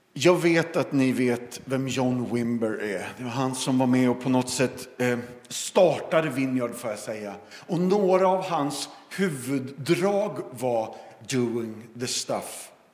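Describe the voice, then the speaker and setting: A man speaks at a very slow pace and medium pitch with lively intonation. Audible room echo and noticeable background noise surround him. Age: 50s. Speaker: evangelist and former pastor. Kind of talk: sermon. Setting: church service.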